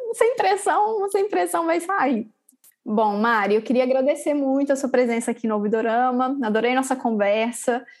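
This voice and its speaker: A woman's high-pitched voice with very wide pitch swings, a moderate pace and very even loudness. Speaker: podcast host. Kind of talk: interview conversation.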